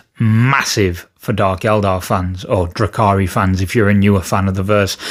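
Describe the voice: A man with a fairly low-pitched voice at a fairly slow pace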